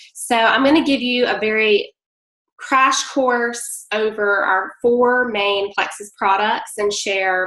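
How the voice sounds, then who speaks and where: With a strong Southern US accent, a woman speaks at a fairly high pitch in a bright, sharp tone with ordinary pitch variation. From Mississippi. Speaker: direct-sales presenter. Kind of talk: online sales presentation. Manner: hesitant, many fillers.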